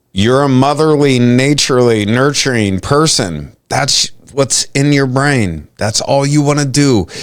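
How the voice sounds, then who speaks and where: The delivery is fairly slow, with very even loudness. Pitch variation is ordinary. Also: man, medium pitch for a man, hardly any pauses. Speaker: podcast host. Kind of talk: casual chat.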